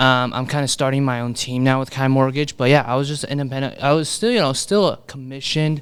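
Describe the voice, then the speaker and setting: With a Chinese accent, a man of medium pitch talks at a fairly quick pace. His intonation stays fairly even. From Brooklyn, New York, Chinese immigrant family. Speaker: mortgage broker. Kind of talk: podcast interview. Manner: casual, many fillers like you know.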